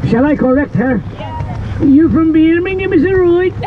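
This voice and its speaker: Medium-tempo male speech against noticeable background noise. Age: 70s. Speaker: boat tour guide. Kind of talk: tour guiding. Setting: outdoors on a boat. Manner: animated; loud.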